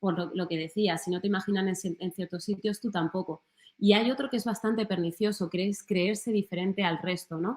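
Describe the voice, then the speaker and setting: A woman speaks at a fairly quick pace in a Madrid accent. Her medium pitch holds fairly even intonation. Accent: Madrid-area Spanish (Alcorcón). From Spain, Alcorcón (Madrid). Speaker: journalist. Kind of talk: talk. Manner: hesitant, with fillers.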